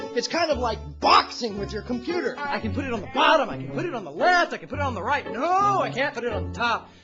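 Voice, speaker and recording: A man speaks at a very fast pace with hardly any pauses. Music plays in the background. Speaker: video editor. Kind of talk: comedic rant to camera. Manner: exasperated, emphatic.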